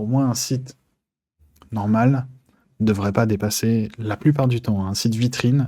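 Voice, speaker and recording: On a very clean recording with a silent background, a man with a dark, mellow tone speaks at medium pitch and a moderate pace. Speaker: web hosting provider. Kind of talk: tutorial. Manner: hesitant, many fillers.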